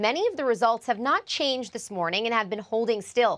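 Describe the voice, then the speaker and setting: A woman is speaking. Her voice is high in pitch. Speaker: TV news reporter, anchor and food host. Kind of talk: broadcast news reporting and anchoring.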